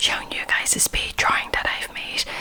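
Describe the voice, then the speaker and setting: Noticeable background noise sits under a whispered voice. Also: woman. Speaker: artist and ASMR video creator. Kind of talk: ASMR whispered talk with drawing. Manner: whispering; soft.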